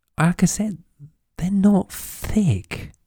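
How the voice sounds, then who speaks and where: Very slowly, a man speaks in a dark, mellow tone. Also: dry, close sound with no echo. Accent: British. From UK. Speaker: podcast host. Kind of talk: unscripted solo podcast monologue. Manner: frequent repetitions and fillers.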